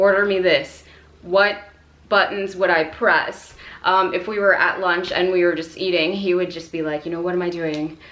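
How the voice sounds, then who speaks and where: A woman's fairly low-pitched voice at a moderate pace with fairly even intonation, amid audible room echo and noticeable background noise. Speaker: Navy veteran and language-learning vlogger. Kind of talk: casual vlog monologue. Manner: casual, filler-heavy.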